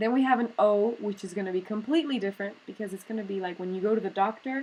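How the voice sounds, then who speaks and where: With an ordinary speaking voice, a woman talks at a fairly quick pace and medium pitch with ordinary pitch variation. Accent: American. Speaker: English teacher. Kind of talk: tutorial.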